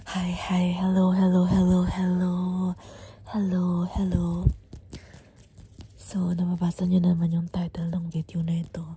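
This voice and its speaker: Fairly slow delivery broken by long, frequent pauses. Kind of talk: ASMR role-play, soft-spoken with repetitive triggers.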